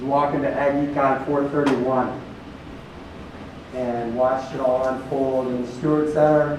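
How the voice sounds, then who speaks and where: A loud man speaks at medium pitch and a moderate pace in a flat monotone, with long, frequent pauses. Noticeable background noise and audible room echo surround him. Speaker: company recruiter. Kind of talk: recruiting seminar talk.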